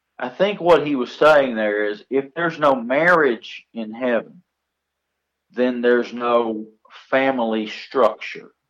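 A man with an ordinary speaking voice talks at a fairly slow pace. His medium pitch shows ordinary pitch variation. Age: 50s. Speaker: pastor. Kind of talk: casual chat. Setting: phone call.

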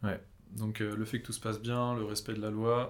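Fairly low male speech in a flat monotone. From France. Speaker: YouTuber. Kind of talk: casual chat.

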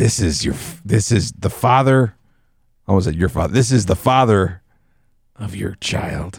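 A man's put-on character voice, nasal and gravelly, fairly low in pitch, at a fairly slow pace with lively intonation and long, frequent pauses. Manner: mockingly menacing.

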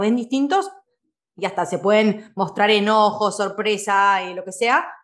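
A woman speaks at a medium pitch in an unremarkable speaking voice. Her pitch varies in an ordinary way. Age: 30s. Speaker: podcast host and life coach. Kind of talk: conversational interview.

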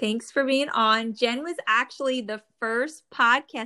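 In a very clean recording with a silent background, a woman speaks with an American accent. Her fairly high pitch and bright, sharp tone carry ordinary pitch variation. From New Jersey. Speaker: podcast host, pharma professional. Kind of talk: casual interview.

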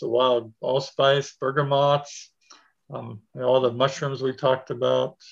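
A man talks with an American accent and fairly even intonation. His voice is somewhat breathy. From Pennsylvania. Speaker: permaculture teacher. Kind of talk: casual interview.

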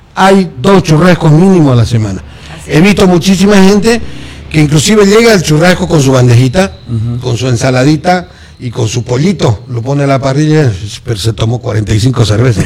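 Noticeable background noise behind a moderate pace and very wide swings in pitch. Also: man. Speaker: football pundit. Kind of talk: casual radio chat. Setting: radio studio.

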